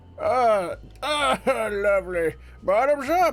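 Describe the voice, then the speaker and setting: A man puts on a gruff character voice pitched high. He speaks at a very slow pace. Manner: hearty, pleased.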